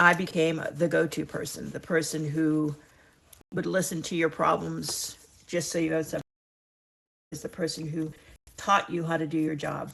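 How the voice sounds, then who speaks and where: A woman speaks in a very deep, low voice with vocal fry, keeping a flat, monotone intonation at a moderate pace. She leaves long, frequent pauses against a quiet background. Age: 60s. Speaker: retirement lifestyle vlogger. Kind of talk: casual chat to camera. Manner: conversational, warm; some halting restarts.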